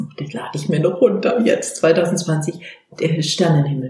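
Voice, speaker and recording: A woman talking at a fairly slow pace. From Baden-Württemberg. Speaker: voice coach and leadership trainer. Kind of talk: interview. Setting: in her office. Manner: animated.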